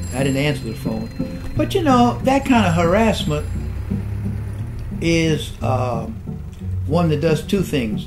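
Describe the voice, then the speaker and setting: A man speaks at a fairly slow pace with long, frequent pauses. Noticeable background noise runs underneath. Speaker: civil rights activist. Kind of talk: interview answer. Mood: calm, reflective, firm. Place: home room.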